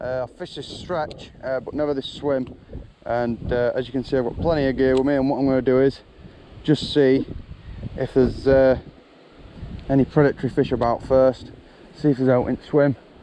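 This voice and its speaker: The speech moves at a fairly quick pace with monotone, flat intonation and long, frequent pauses. Noticeable background noise is present. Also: man, medium pitch for a man. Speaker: angling vlogger. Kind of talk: casual vlog narration. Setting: outdoors by a river.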